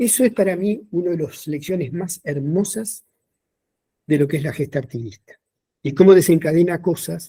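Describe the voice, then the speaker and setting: Speaking in a Uruguayan accent, a man has a high pitch and a dark, mellow tone. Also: ordinary pitch variation, moderate pace. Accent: Rioplatense Spanish (Uruguayan). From Montevideo, Uruguay. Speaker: historian and teacher. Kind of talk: lecture.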